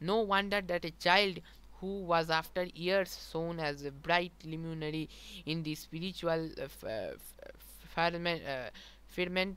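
Pitched high, a man talks at a fairly slow pace in a dry recording with no echo. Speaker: speaker. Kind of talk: lecture. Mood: calm, reverent. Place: home room. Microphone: headset.

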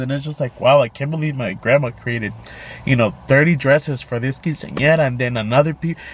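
Somewhat breathy, a man speaks at a fairly high pitch with ordinary pitch variation. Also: dry sound with no echo. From Arizona, US (Tolleson), Mexican-American family. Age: 20s. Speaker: YouTube vlogger. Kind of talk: casual vlog monologue, code-switching English and Spanish. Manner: hesitant, many fillers. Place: car. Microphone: phone near.

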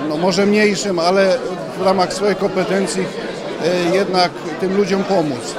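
The voice moves at a fairly slow pace. Loud background noise sits behind a dry sound with no echo. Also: man. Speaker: municipal police officer. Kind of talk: interview. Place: hall. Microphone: handheld.

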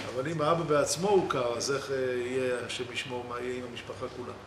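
A man talks at a moderate pace with ordinary pitch variation over noticeable background noise. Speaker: religious teacher. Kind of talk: sermon. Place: church.

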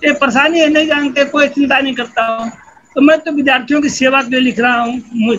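A man's extremely high-pitched voice with fairly even intonation. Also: moderate pace. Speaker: retired sociology professor. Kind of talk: interview answer. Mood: relaxed, reflective. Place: home room. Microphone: video call.

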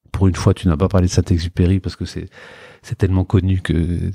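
A man speaks with a very deep, low pitch and a dark, mellow tone that is somewhat breathy. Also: dry, close sound with no echo. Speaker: entrepreneur. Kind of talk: interview. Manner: halting, many repetitions; talkative.

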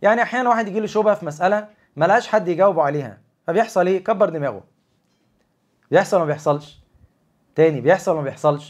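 An animated, high-pitched man with lively intonation and a fairly quick pace, broken by long, frequent pauses, against a quiet background. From Egypt. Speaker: Islamic lecturer. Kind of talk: religious talk on a livestream. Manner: conversational, animated. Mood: calm, reassuring. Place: home room. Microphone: lapel.

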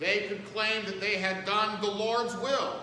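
A man's raised, projected voice at a very slow pace, with audible room echo and light background noise. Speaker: pastor. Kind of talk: sermon. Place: church. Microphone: camera far.

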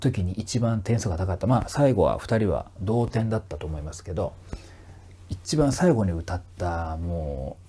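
At a moderate pace, a man with a very deep, low pitch and a dark, mellow tone speaks somewhat breathily, with lively intonation. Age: 40s. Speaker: vocal trainer and YouTuber. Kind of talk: casual monologue. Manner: polite, filler-heavy.

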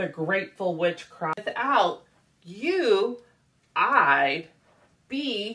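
The clip is plain reading aloud.

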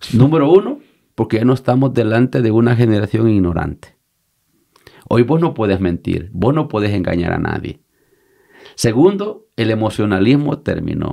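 With a dark, mellow tone and lively intonation, a man speaks with long, frequent pauses. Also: medium pitch for a man, moderate pace. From El Salvador, Usulután. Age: 50s. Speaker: pastor. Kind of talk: interview conversation.

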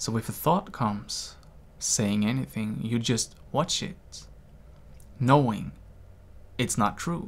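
A man at medium pitch with vocal fry, a very slow pace and long, frequent pauses. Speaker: meditation teacher. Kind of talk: guided meditation, calm instructional talk. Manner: slow, soothing, gentle. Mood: calm, gentle, reflective. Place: home room. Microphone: studio mic.

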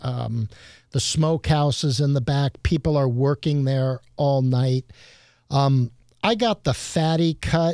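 Over a quiet background, a man speaks at a fairly slow pace in a dark, mellow tone with ordinary pitch variation, the sound dry with no echo. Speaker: podcast guest. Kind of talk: interview answer. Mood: relaxed, enthusiastic. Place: studio. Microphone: studio mic.

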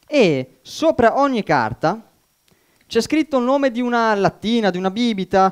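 Speaking at a fairly slow pace, a man is heard against a quiet background. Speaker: amateur magician. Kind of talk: magic show patter. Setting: stage with audience. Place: stage.

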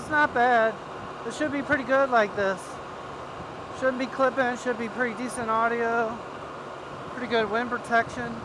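A raised, projected voice comes through over noticeable background noise. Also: man. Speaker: motovlogger. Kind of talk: casual vlog chat. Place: motorbike. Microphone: helmet.

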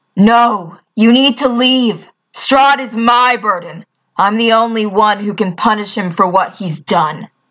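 In a put-on character voice, a female-sounding speaker takes a menacing tone, pitched fairly high and delivered at a fairly slow pace. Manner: grim, proud, menacing.

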